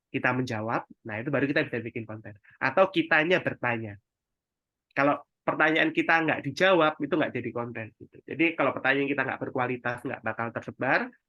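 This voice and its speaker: Talking at a very fast pace, a man speaks at a medium pitch with ordinary pitch variation. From East Java, Indonesia (Sidoarjo). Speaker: digital marketing mentor. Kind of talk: webinar presentation. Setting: online webinar. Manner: casual, conversational.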